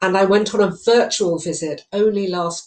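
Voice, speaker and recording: In a British accent, a woman speaks at a fairly slow pace with fairly even intonation. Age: 60s. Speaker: charity chairman. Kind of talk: opening speech. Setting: home study.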